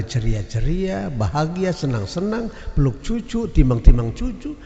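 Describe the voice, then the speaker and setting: Very wide pitch swings at a moderate pace, with audible room echo and noticeable background noise. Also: man. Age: 80s+. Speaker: preacher. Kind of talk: sermon. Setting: mosque, Friday prayer congregation.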